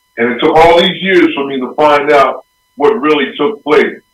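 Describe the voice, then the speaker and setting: With an American accent, a man speaks in an unremarkable speaking voice, fairly high in pitch, with ordinary pitch variation. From Philadelphia. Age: 60s. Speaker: former pro football player. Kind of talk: interview storytelling.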